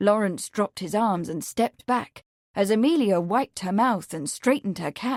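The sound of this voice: The speaker reads in an unforced reading voice. The background is quiet.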